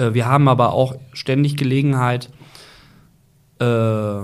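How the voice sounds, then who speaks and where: Using a plain, everyday voice, a man speaks at a moderate pace with a medium pitch and ordinary pitch variation. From Germany, Ruhr area (Gelsenkirchen). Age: 40s. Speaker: football club director. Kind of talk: interview.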